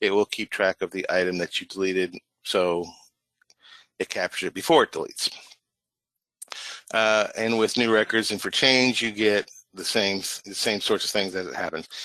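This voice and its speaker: Dry and close with no echo, a man's voice sits at a fairly low pitch. His tone is bright and sharp, broken by long, frequent pauses. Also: fairly even intonation. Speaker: software presenter. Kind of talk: product demo webinar. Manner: fast.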